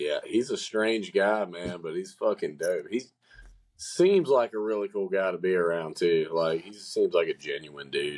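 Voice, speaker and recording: A man's loudness rises and falls sharply as he speaks at a moderate pace. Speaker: musician. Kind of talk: casual chat.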